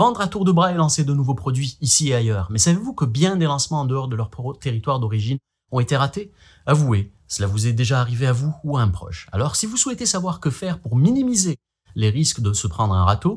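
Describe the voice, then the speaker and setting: Animated and somewhat breathy, a man talks very fast in a fairly high voice with very wide pitch swings. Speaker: marketing video blogger. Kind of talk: vlog-style talk to camera.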